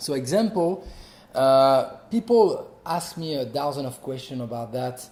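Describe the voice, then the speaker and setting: With a French accent, a man speaks at a fairly high pitch in a dark, mellow, somewhat breathy tone, at a fairly slow pace with lively intonation. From France. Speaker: actor and martial artist. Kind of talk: interview. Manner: halting.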